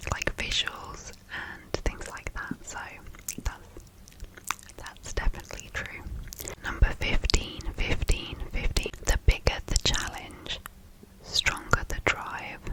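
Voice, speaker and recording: A woman whispers at a very slow pace, her loudness swinging widely, with noticeable background noise. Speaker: ASMR creator. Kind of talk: ASMR reading of facts. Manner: whispered, soft-spoken, slow.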